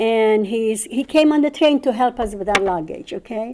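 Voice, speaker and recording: At a moderate tempo, the speech carries a dark, mellow tone. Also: woman. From Czechoslovakia. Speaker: Holocaust survivor. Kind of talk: testimony. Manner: halting.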